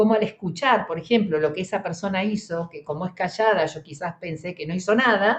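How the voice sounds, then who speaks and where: A woman with an Argentine accent talks at a fairly quick pace with hardly any pauses, ordinary pitch variation and big swings in loudness. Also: medium pitch for a woman. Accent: Argentine Spanish (Rioplatense). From Argentina. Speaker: psychologist, emergency specialist. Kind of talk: interview conversation.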